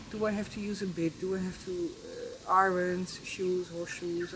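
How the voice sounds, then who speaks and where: A woman at medium pitch is heard with audible room echo and noticeable background noise. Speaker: horse trainer. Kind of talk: informal instructional talk. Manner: halting, searching for words.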